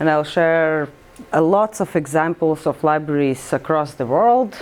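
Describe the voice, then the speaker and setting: A woman's voice sits at a fairly low pitch with ordinary pitch variation. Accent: Latvian. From Latvia. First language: Latvian. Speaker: librarian. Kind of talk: presentation. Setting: workshop with audience. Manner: halting.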